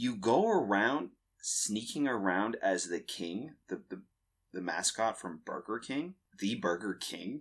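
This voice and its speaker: Lively in intonation, this man has an unremarkable speaking voice at medium pitch and talks at a fairly slow pace. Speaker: podcast co-host. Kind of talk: casual chat. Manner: casual, chatty.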